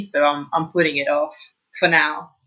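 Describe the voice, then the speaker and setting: A woman with a British accent speaks at a moderate pace with fairly even intonation. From Italy. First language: Italian. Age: 20s. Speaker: architectural assistant. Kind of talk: interview conversation.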